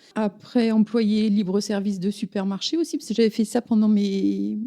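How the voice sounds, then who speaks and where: A woman's somewhat breathy, medium-pitched voice with a dark, mellow tone, at a moderate pace, in a dry, close sound with no echo. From Paris region (Yvelines). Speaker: village mayor. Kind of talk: interview. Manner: hesitant, many fillers.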